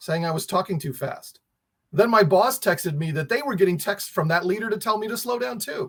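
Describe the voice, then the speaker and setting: A man speaks at a fairly quick pace with an American accent. His pitch is high, with ordinary variation. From New Jersey. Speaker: emergency management expert. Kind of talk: presentation. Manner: fast.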